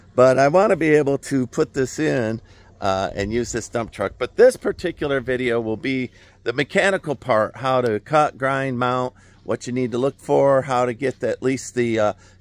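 A man talks at a moderate pace with ordinary pitch variation. The sound is dry, with no echo. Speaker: homesteader builder vlogger. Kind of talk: casual vlog chat. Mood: cheerful, relaxed. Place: open country. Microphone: phone near.

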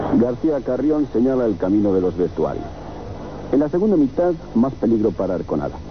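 There are very wide pitch swings in this man's dramatic, medium-pitched delivery. He keeps a fairly quick pace over noticeable background noise. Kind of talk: 1980s radio-style sports commentary, match highlights summary. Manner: brisk, energetic play-by-play delivery, clipped and declamatory; formal, journalistic phrasing with dramatic emphasis on goals.

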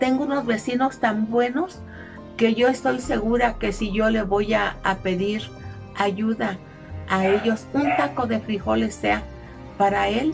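Clear music plays in the background as a woman speaks at a very slow pace. Her pitch varies in an ordinary way, broken by long, frequent pauses. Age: 80s+. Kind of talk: interview answer. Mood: weary, pleading, emotional. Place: home room.

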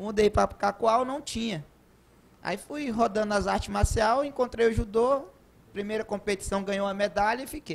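This man's voice is high-pitched, with ordinary pitch variation. He speaks at a moderate pace. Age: 30s. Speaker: judo coach. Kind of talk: TV interview. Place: studio. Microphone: handheld.

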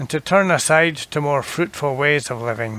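A normal speaking voice at a moderate pace. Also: man. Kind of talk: fervent prayer. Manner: solemn, earnest; measured, reverent.

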